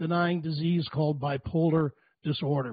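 Moderate tempo from a man, pitch shifting in an ordinary way. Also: quiet background, dry sound with no echo. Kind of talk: speech to a remote event. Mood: somber, earnest. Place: home room. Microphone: handheld.

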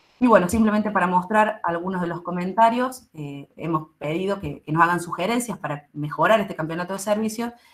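A woman talks at a fairly quick clip with hardly any pauses. Her loudness swings widely while her pitch varies in an ordinary way. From Argentina. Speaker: university pharmacy lecturer. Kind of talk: presentation. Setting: video call. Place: home room.

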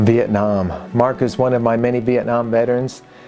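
With fairly even intonation, a man talks over faint background music. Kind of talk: program introduction to camera. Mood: warm, grateful. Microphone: lapel.

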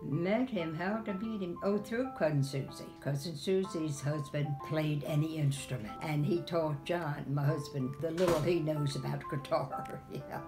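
Clear music plays behind a woman whose very deep, low voice moves at a fairly slow pace. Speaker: interviewee. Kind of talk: interview answer. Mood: warm, reminiscing. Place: home room. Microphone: phone near.

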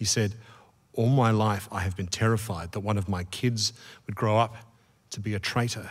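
A somewhat breathy man with an Australian accent, fairly low in pitch and fairly even in intonation, at a moderate pace with long, frequent pauses, over a quiet background. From Australia, Melbourne. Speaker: interviewer. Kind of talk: onstage interview. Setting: stage with audience. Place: stage. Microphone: studio mic.

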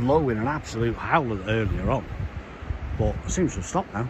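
Noticeable background noise surrounds a man speaking at a fairly quick pace, with a dry sound and no echo. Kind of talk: casual vlog chat. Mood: relaxed, light laughs. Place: beach. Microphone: phone near.

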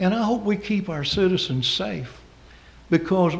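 With a Southern US accent, a man talks at a moderate pace in a high pitch, his voice making very wide pitch swings over audible room echo. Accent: Southern US (Georgia). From US South, Georgia. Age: 60s. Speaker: pastor. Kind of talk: public comment at city council meeting. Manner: impassioned, preacherly.

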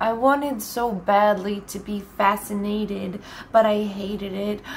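Over light background noise, a woman with an American accent speaks at a very slow pace in a medium pitch with monotone, flat intonation. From Nebraska, USA. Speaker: poet. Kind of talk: poetry reading. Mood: quiet, somber, intimate. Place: home room. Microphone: webcam.

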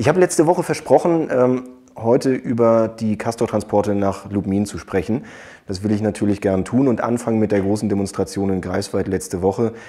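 A man's fairly low, dark and mellow voice at a fairly quick pace, with ordinary pitch variation against a quiet background. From Germany. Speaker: politician vlogger. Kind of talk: political video blog, addressing viewers directly. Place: office. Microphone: lapel.

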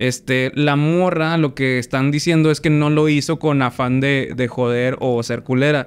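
Delivery is fairly slow, in a Mexican accent, with hardly any pauses. Loudness stays very even throughout. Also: man, fairly high pitch for a man. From Mexico. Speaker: podcast host. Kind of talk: casual chat. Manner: animated. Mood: relaxed, joking. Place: studio. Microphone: studio mic.

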